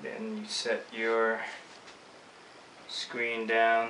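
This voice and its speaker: You can hear noticeable background noise. Through it, a man's voice comes across. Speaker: screen printing tutorial presenter. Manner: casual, chatty.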